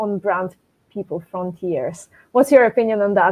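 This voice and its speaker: A woman speaks at a medium pitch. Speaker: podcast host, consulting director; podcast host. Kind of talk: interview. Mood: friendly, smiling. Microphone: earbuds.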